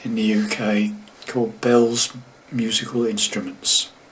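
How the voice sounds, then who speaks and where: A man talks over noticeable background noise. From England, moved around the UK. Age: 70s. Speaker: guitar teacher. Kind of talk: casual talk to camera. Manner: halting, many fillers.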